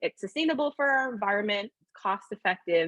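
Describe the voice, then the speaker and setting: A woman with an American accent talks at a fairly quick pace and medium pitch, her intonation lively and the sound dry and close with no echo. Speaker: nonprofit co-founder and advocate. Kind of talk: panel presentation. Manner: fast.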